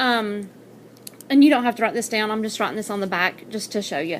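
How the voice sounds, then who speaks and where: A woman with a fairly high voice talks at a fairly quick pace over noticeable background noise. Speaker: math teacher. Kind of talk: tutorial.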